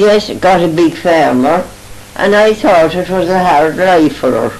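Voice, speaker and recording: A woman speaking at a fairly slow pace over background music. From Ireland, County Galway. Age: 80s+. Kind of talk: reminiscing interview answer. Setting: home recording.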